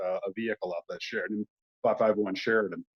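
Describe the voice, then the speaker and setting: Talking at a very fast pace, a man speaks with a Southern US accent. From US Deep South. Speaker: model builder and YouTuber. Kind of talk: casual chat. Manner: halting, many fillers.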